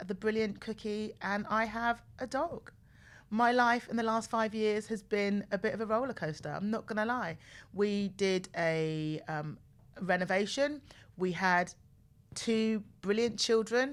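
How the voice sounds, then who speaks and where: At a fairly slow pace, a woman with a southern English accent speaks at a fairly high pitch with ordinary pitch variation, on a very clean recording with a silent background. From southern England, home counties outside London. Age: 40s. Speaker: podcast host. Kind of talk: casual personal monologue. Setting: studio. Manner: chatty, repeats herself.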